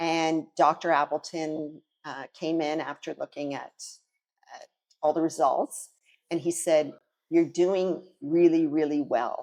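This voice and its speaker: A woman's very deep, low voice, flat and monotone at a fairly slow pace, with big swings in loudness, long, frequent pauses and a dry, close sound with no echo. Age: 60s. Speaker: gym member sharing testimonial. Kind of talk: testimony.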